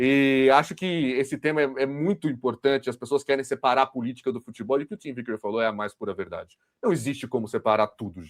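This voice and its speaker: This man talks in a São Paulo accent at a fairly quick pace. His pitch is fairly high, with lively intonation. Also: dry, close sound with no echo, very clean recording, silent background. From São Paulo, Brazil. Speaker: football podcast host. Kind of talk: casual discussion.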